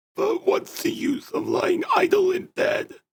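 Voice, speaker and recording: A man puts on a character voice, raspy and extremely high-pitched, delivered at a fairly slow pace. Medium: read story. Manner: careful, clearly enunciated, with pauses.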